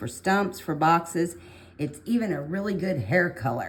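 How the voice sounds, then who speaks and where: A woman speaks quietly at a fairly low pitch. Her pace is fairly slow. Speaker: art tutorial creator. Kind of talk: tutorial.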